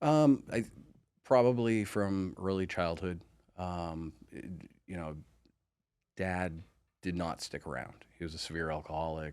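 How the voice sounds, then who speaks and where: A man with an American accent talks at a fairly slow pace in a very deep, low pitch, with ordinary pitch variation. Long, frequent pauses break it up, and his loudness swings widely. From Maine, US. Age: 40s. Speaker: podcast guest sharing life story. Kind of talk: interview testimony. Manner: halting, many fillers and restarts.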